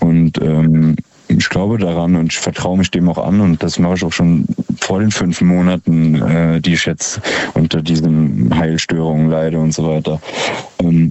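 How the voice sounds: Extremely low-pitched male voice, dark and mellow in tone, with little pitch movement and few pauses. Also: fairly slow pace.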